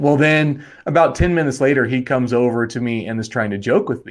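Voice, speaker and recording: Against a quiet background, a man talks at a fairly quick pace in a normal speaking voice with ordinary pitch variation. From Wyoming, US. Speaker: life coach and therapist. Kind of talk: casual interview.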